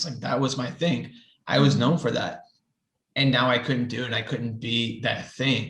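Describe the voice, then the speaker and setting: A man talks at a medium pitch with vocal fry. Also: ordinary pitch variation, moderate pace. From New Orleans area. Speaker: writer and lab technologist. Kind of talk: podcast interview answer.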